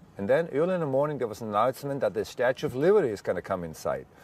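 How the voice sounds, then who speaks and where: Very fast delivery in a German accent. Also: man. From Germany. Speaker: war veteran. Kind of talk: testimony. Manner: halting.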